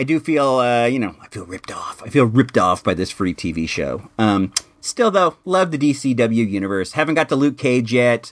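A man with a plain, everyday voice at medium pitch and moderate pace, lively intonation and hardly any pauses. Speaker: podcast host. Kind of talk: casual comedic podcast chat. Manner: casual, jokey, rambling.

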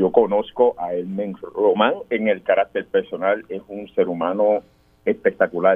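The man talks fairly slowly, and his volume rises and falls in big swings. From Puerto Rico, Guánica. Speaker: political candidate, military veteran. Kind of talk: radio interview.

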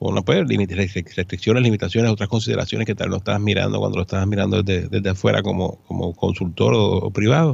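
A man talks very fast with vocal fry at a fairly low pitch. His intonation is lively. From Puerto Rico, San Juan. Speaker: accountant. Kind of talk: radio interview. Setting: studio.

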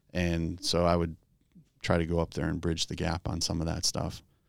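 Fairly quick speech in an American accent is heard on a very clean recording with a silent background. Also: man. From US Midwest, Chicago area. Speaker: sprint car racing PR person. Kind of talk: casual interview chat.

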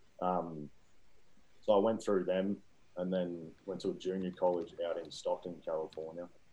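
A man speaks with an Australian accent. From Victoria, Australia. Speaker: amateur football club founder. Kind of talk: casual interview.

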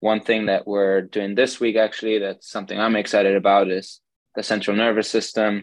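At a fairly quick pace, a man with a German accent and a fairly low pitch speaks in a monotone with flat intonation. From Germany. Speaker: sports scientist. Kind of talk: podcast interview.

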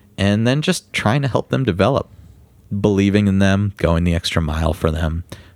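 With a plain, everyday voice, a man talks at moderate pace and fairly low pitch, with lively intonation, very even loudness and a dry, close sound with no echo. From New York. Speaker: music booking agent. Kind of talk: casual interview.

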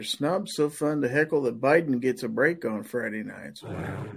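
Recorded very cleanly over a silent background, a man with a Midwestern US accent speaks at a very slow pace with ordinary pitch variation. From Kansas. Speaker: podcast host. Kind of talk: live-streamed panel chat. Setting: live stream.

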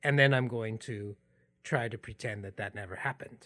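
A man at a moderate pace. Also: quiet background. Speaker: podcast host. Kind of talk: personal storytelling, narrated podcast episode. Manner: reflective, personal.

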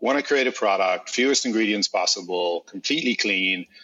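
Someone with an Irish accent speaks at a fairly quick pace. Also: man. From Ireland. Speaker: beverage company founder. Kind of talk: interview.

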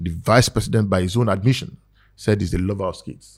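A man talks at a very fast pace with a fairly low, somewhat breathy voice and ordinary pitch variation. The recording is very clean, with a silent background. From Nigeria. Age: 50s. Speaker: politician. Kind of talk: casual interview.

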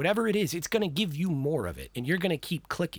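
In a very clean recording with a silent background, a man with an American accent speaks with vocal fry. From Texas. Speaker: podcast researcher and history enthusiast. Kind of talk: casual chat.

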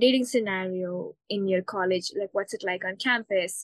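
A woman with an unremarkable speaking voice talks at a moderate pace with fairly even intonation in a dry, close recording with no echo. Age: 20s. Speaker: online coach, coaching client. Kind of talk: live coaching session. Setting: call.

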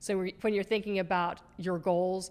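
Speaking at a moderate pace, a woman with a fairly low pitch has a plain, everyday voice. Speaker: marketing podcast co-host. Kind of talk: casual educational chat.

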